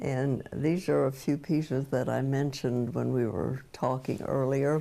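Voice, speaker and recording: This woman has a very deep, low pitch and a dark, mellow tone. She talks at a fairly slow pace with fairly even intonation. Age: 90s. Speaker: ceramic artist. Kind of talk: interview. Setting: home studio. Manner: halting, with many fillers.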